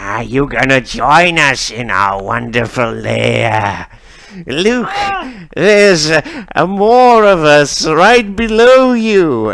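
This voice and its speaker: A man puts on a shrill character voice, pitched fairly high, speaking at a very slow pace with very wide pitch swings. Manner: shrieking, taunting.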